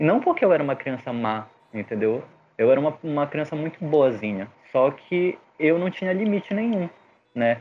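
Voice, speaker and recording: Male speech, fairly high and at a moderate pace, its pitch swinging very widely. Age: 30s. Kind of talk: casual chat.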